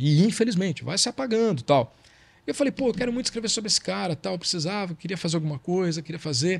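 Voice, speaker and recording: This man talks at a very fast pace in a high pitch. His voice swings very widely up and down. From Brazil. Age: 50s. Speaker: journalist and author. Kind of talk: casual chat.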